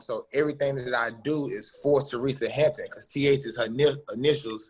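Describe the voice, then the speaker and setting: The man's voice sounds somewhat breathy. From US South, western North Carolina (Forest City). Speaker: recording artist. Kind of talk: casual interview. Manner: animated, relaxed.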